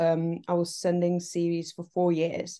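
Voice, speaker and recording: Speaking at a fairly slow pace, a woman with a Czech accent has a fairly low pitch and a dark, mellow tone. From Czech Republic. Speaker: TV assistant director. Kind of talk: casual interview chat. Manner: hesitant, many fillers.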